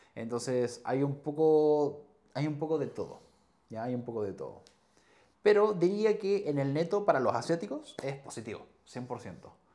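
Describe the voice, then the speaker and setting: Against a quiet background, a man speaks at a moderate pace. His dark, mellow voice carries lively intonation. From Chile, Chillán; Chile. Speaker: nurse and streamer; podcast guest. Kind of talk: casual chat. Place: home room. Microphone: lapel.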